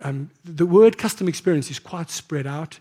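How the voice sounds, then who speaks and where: A man with a British accent, high-pitched, dark and mellow in tone, on a very clean recording with a silent background. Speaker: marketing executive. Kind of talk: conference talk. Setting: stage with audience. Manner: fast.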